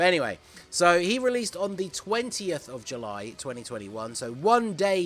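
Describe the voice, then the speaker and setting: A man with a British accent speaks with lively intonation on a very clean recording with a silent background. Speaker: gaming YouTuber. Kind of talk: gaming commentary video.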